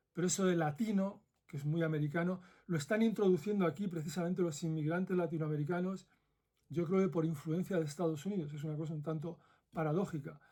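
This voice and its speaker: Speaking very fast with a Madrid accent, a man has a high-pitched voice with a dark, mellow tone and fairly even intonation. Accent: Madrid Castilian Spanish. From central Spain (Madrid). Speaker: former ethics professor, video essayist. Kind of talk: commentary monologue.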